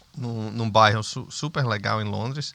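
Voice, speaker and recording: This man speaks with a northeastern Brazilian accent at a medium pitch. His tone is bright and sharp. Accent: Brazilian northeastern accent, kept. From Brazil, Northeast (Sergipe, Aracaju). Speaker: businessman. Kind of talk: interview conversation.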